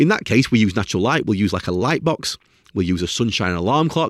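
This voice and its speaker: Recorded dry and close with no echo, a man talks at a moderate pace with very wide pitch swings. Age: 40s. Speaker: sleep expert podcast host. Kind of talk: solo educational talk.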